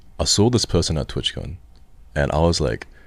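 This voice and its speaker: A man with an Australian accent speaks with a very deep, low pitch and vocal fry. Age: 30s. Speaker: streamer. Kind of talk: casual chat.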